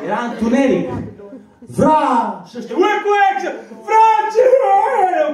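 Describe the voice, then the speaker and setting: There is audible room echo and light background noise as a man speaks with very wide pitch swings. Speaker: stand-up comedian. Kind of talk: casual stand-up storytelling about his teenage years. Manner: animated, conversational. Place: bar. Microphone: handheld.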